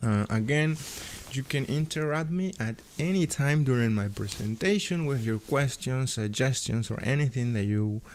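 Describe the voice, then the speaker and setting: Someone speaks at a fairly slow pace with a Peruvian accent and lively intonation. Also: man. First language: Spanish. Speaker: AutoCAD instructor and livestream host. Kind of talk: live stream tutorial, reading chat comments. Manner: animated.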